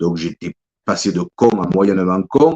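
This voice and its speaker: A man's fairly low voice with lively intonation at a fairly slow pace, in a dry, close sound with no echo. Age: 60s. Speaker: author. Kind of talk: interview. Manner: halting, many repetitions.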